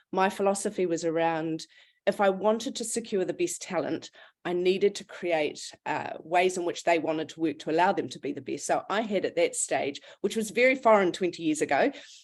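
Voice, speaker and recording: A woman with a New Zealand accent talks at a fairly quick pace in a medium pitch with ordinary pitch variation. The background is quiet. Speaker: recruitment business founder. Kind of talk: webinar panel discussion.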